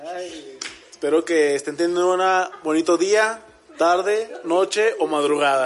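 A man talks at a high pitch and a fairly slow pace. His pitch variation is ordinary. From Mexico, Aguascalientes. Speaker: podcast host. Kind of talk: casual chat.

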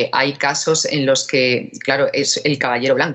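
This woman's voice sits very deep and low, and she talks at a fairly slow pace. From Andalusia, Spain (Málaga). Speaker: business angel association president, engineer. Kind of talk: interview.

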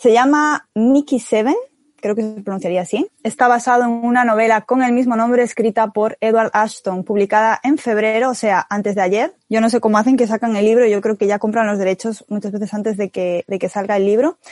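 Here a woman has an unremarkable speaking voice with a fairly high pitch, talking at a fairly quick pace with hardly any pauses. Her intonation is fairly even, and the sound is dry and close with no echo. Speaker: podcast co-host. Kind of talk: casual chat.

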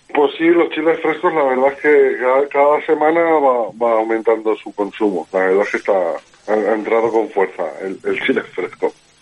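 Over noticeable background noise, a man with a fairly high pitch talks with lively intonation. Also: moderate pace, hardly any pauses. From Alzira, Valencia, Spain. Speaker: edible flower grower, former cook. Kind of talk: interview.

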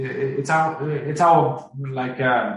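A man with a fairly high, somewhat breathy voice speaks with lively intonation. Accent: Finnish. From Finland. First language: Finnish. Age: 40s. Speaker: company CEO. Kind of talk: interview. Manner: halting.

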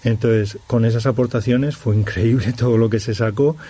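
A man speaks in an unremarkable speaking voice at a moderate pace, with fairly even intonation. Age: 40s. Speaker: musician. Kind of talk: radio interview.

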